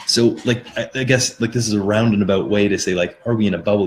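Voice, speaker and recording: Speaking in a somewhat breathy voice, the man has a fairly low pitch. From Canada. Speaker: crypto podcaster. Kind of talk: live stream chat with viewers. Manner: casual, rambling with fillers.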